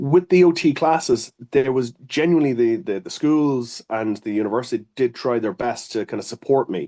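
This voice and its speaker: A man with an Irish accent speaks at a moderate pace with hardly any pauses, his dark, mellow tone sitting at a medium pitch with lively intonation. The sound is dry and close with no echo, over a quiet background. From Ireland. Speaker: occupational therapist. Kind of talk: interview. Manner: hesitant, many fillers.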